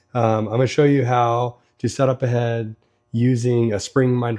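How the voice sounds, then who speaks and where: Music in the background beneath a medium-pitched male voice. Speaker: engine builder, racing hobbyist. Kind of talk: tutorial. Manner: casual, many fillers.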